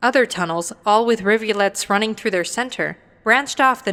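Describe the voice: Ordinary pitch variation in plain reading aloud.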